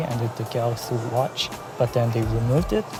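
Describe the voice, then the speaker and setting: A man at medium pitch and moderate pace, fairly even intonation, with music in the background. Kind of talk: casual tech review to camera.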